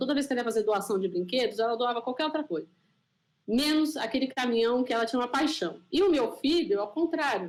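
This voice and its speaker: A woman talks at a fairly quick pace with a high pitch, an animated tone and lively intonation. Her loudness stays very even. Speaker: scientist and panel moderator. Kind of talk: panel discussion.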